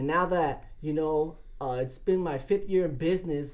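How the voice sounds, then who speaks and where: This man has an ordinary speaking voice with an American accent and a fairly high pitch. He talks at a fairly slow pace with ordinary pitch variation. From Southern California, Los Angeles area. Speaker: sportfishing captain. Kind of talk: casual interview.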